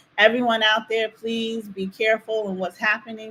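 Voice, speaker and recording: Speaking with a New Jersey accent, a woman keeps a fairly high pitch in a monotone, flat intonation. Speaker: activist. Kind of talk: casual chat.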